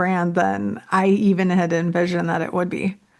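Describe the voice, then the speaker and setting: Against a quiet background, a woman with a Minnesotan accent speaks at a medium pitch with monotone, flat intonation. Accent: Minnesota. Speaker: real estate entrepreneur and creator. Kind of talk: podcast interview.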